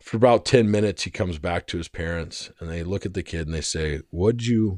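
Against a quiet background, a man with an American accent speaks in a very deep, low pitch with lively intonation. His pace is fairly quick with hardly any pauses, and his loudness swings widely. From Arizona. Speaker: podcast host. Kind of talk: casual chat.

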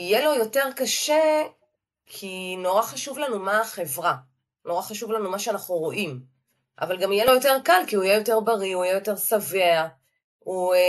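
An unremarkable speaking voice from a woman, medium in pitch, with lively intonation and a moderate pace. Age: 50s. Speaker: clinical dietitian. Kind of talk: interview.

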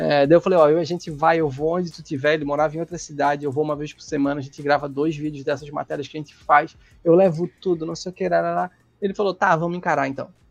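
This man speaks at a very fast pace with a fairly high pitch. His loudness swings widely. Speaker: motorcycle youtuber and test rider. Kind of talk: casual chat.

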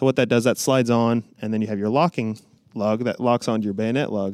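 An ordinary speaking voice from a man at a medium pitch, with fairly even intonation and a very clean recording over a silent background. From US Midwest, Illinois. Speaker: firearms collector and reenactor. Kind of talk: casual chat. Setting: shooting range.

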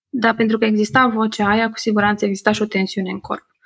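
A woman speaks with a fairly high pitch and a somewhat breathy quality. The sound is dry and close, with no echo. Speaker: psychotherapy-informed podcaster and workshop leader. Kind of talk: interview conversation. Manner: upbeat.

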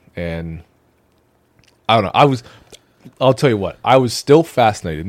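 The speaker is a man at a fairly quick pace. He talks with an American accent. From United States. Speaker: podcast co-host. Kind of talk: casual chat.

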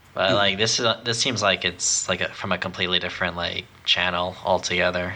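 Over noticeable background noise, a man talks very fast in a very deep, low, monotone voice with flat intonation. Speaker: podcast co-host. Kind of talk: casual podcast chat.

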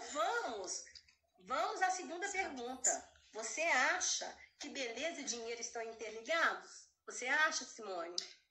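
In a room with audible echo, a woman speaks fairly slowly at a high pitch, with very wide pitch swings. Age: 50s. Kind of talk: casual chat.

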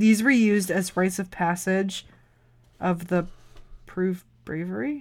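With an American accent, a woman talks at a fairly slow pace, pausing long and often. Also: medium pitch for a woman, ordinary pitch variation. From US Midwest (Wisconsin). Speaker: podcast co-host. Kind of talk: casual chat.

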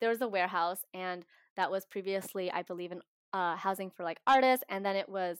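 An unremarkable speaking voice from a woman at medium pitch with an American accent, in a dry, close sound with no echo. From Washington State, US. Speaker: community organizer, podcast guest. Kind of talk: casual interview. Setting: video call.

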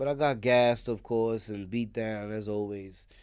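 A man speaks at a moderate pace with a New York accent. The recording is very clean, with a silent background. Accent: New York City. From Brooklyn, New York (East New York), also Queens. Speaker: former prisoner. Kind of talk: casual interview conversation. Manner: animated storytelling.

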